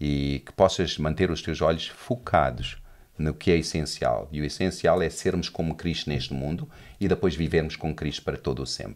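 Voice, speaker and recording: Vocal fry in a man's very deep, low voice, at a moderate pace with ordinary pitch variation. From South Africa, Johannesburg (Portuguese family). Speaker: pastor. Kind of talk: casual chat.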